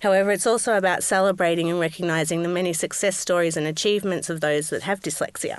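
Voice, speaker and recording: A woman speaks with an Australian accent. Her pace is very fast. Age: 30s. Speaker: podcast host. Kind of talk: podcast interview.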